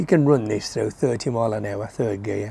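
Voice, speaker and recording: Ordinary pitch variation and a dark, mellow tone mark this man's speech. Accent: English. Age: 70s. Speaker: motorcycle vlogger. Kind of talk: casual talk to camera.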